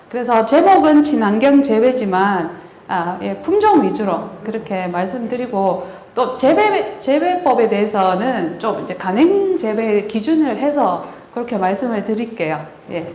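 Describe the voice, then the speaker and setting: A woman with a strong Gyeongsang accent, fairly high-pitched and fairly slow, with very wide pitch swings, audible room echo and noticeable background noise. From Gyeongbuk, Korea (Daegu). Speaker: agricultural researcher, grape breeder. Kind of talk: lecture. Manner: hesitant, many fillers.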